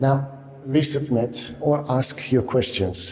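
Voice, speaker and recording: Noticeable background noise sits under this recording. A man speaks at a medium pitch and a very slow pace. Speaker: kettlebell coach. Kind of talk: tutorial. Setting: indoor room. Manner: quiet, subdued. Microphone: room echo.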